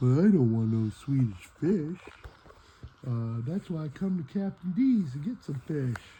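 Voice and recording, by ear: A man puts on a cartoonish character voice, fairly high in pitch, with a dark, mellow tone and a husky, rough edge. He moves at a fairly slow pace with lively intonation.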